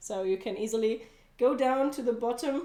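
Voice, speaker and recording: A woman with a German accent, a dark, mellow tone, and ordinary pitch variation. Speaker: cooking livestreamer. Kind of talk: casual livestream cooking chat.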